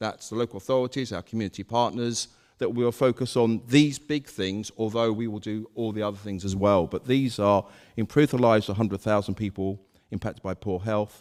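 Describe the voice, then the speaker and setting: Recorded dry and close with no echo, a man talks at a fairly quick pace in a medium pitch with ordinary pitch variation. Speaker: health service manager. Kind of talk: conference talk. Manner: loud.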